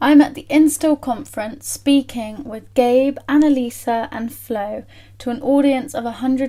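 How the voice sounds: At a fairly slow pace, a woman speaks with a fairly high pitch, a dark, mellow tone and fairly even intonation.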